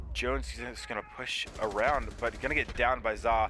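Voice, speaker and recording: Vocal fry runs through a man's medium-pitched voice, which has a bright, sharp tone. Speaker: esports caster. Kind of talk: live commentary. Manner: stuttering at times; fast-paced play-by-play.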